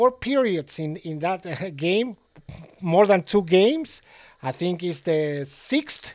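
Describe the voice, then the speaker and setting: On a very clean recording with a silent background, a man with a Mexican accent speaks at a very slow pace and a high pitch. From Mexico City, Mexico. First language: Spanish. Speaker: sports betting tipster. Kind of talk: casual video monologue. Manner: halting, many fillers.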